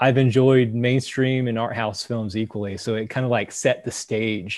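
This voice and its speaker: At a moderate pace, this plain, everyday voice holds fairly even intonation. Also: man. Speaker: park ranger. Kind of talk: casual chat.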